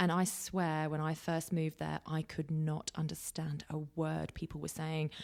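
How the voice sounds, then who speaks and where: The woman's pitch is very deep and low. She speaks with hardly any pauses. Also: moderate pace. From English Midlands (Nuneaton). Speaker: drone expert and company executive. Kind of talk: interview conversation. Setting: podcast interview. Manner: animated.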